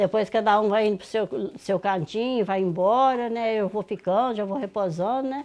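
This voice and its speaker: Speaking at a moderate pace with hardly any pauses, a woman with a rural Minas Gerais accent uses a fairly high pitch and ordinary pitch variation. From Minas Gerais, rural. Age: 60s. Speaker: farm matriarch; host's interviewee at her home. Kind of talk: casual interview. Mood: warm, reflective, grateful. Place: kitchen. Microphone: phone near.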